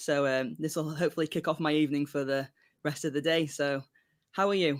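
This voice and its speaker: A man speaks with a British accent on a very clean recording with a silent background. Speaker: songwriter. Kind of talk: casual interview chat. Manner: halting.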